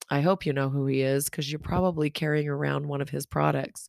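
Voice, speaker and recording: A woman speaks in a warm tone at a very deep, low pitch. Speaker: life coach and podcast host. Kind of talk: solo podcast talk. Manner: warm, conversational.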